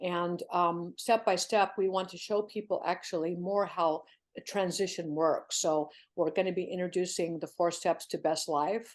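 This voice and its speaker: This woman has an ordinary speaking voice, fairly low in pitch, with fairly even intonation. She goes at a moderate pace against a quiet background. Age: 60s. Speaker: CEO of an online community for people over fifty. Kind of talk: podcast interview.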